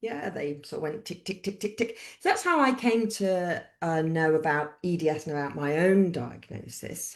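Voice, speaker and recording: The speaker has a British accent and lively intonation. The pace is moderate with hardly any pauses, over a quiet background. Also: woman, fairly low pitch for a woman. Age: 60s. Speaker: author and midwife. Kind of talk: interview. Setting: live-streamed video call. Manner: conversational, hesitant with fillers.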